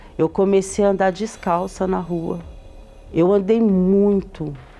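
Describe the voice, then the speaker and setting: A woman speaks at a very slow pace in a dark, mellow tone. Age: 30s. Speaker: former sex worker, salesperson. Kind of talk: testimony.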